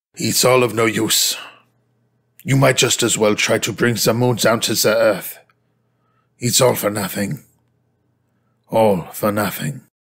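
A raspy, put-on character voice at low pitch moves at a fairly slow pace with long, frequent pauses, on a very clean recording with a silent background. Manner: resigned.

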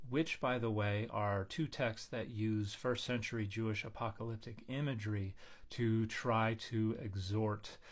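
A man, somewhat breathy, at a fairly slow pace with fairly even intonation. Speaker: biblical scholar commentator. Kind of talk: commentary. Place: home room. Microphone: phone near.

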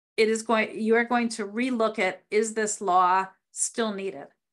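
Someone with an American accent speaks at a fairly slow pace with fairly even intonation against a quiet background. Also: woman. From US East Coast. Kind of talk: training presentation. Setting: video call. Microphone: video call.

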